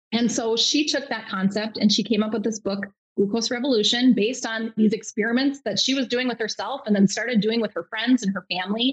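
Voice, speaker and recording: A woman with a plain, everyday voice speaks at a fairly quick pace in a fairly high pitch with fairly even intonation, in a dry, close sound with no echo. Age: 40s. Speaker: nurse practitioner and health coach. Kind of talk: casual interview.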